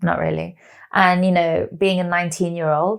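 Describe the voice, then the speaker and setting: With a London accent, a woman speaks at a moderate pace in a fairly low pitch with fairly even intonation, on a very clean recording with a silent background. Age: 40s. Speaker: actress. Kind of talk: interview.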